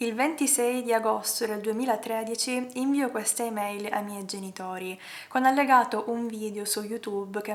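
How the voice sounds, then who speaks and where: This woman has a plain, everyday voice. She speaks at a moderate pace with medium pitch. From Palermo, Sicily, Italy. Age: 20s. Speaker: ballet dancer; animal rights activist. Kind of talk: personal story told to camera.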